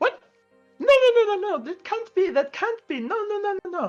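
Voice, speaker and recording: A put-on, squeaky character voice at an extremely high pitch, speaking at a moderate pace over faint background music. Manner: panicked, distraught.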